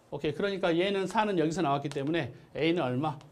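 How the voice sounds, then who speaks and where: Amid audible room echo, a man speaks at a very fast pace and a fairly high pitch, with ordinary pitch variation. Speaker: math teacher. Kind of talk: lecture.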